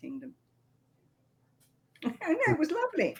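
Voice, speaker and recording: A woman talks at a moderate pace in a British accent. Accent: British, still present. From England. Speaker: princess, medieval reenactor. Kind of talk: casual interview.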